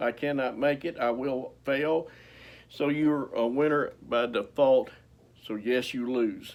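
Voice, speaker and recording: On a very clean recording with a silent background, a man speaks. His intonation is monotone and flat. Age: 60s. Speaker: motivational speaker and author. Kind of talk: motivational talk.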